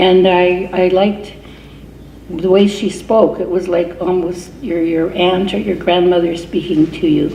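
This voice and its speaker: Room echo and noticeable background noise surround a woman at a medium pitch. She talks fairly slowly in a flat monotone. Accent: Canadian. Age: 70s. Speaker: reverend and peace activist. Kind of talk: award acceptance speech.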